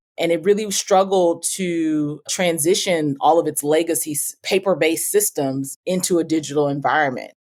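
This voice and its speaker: A woman with a normal speaking voice and an American accent, fairly low pitch, ordinary pitch variation, a moderate pace and hardly any pauses. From Oakland, California. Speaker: tech startup founder. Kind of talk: interview.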